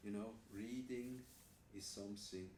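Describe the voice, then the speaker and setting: In a room with audible echo, a man speaks with a fairly low voice and monotone, flat intonation. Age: 60s. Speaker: vlogger. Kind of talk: casual vlog. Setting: hotel room in quarantine.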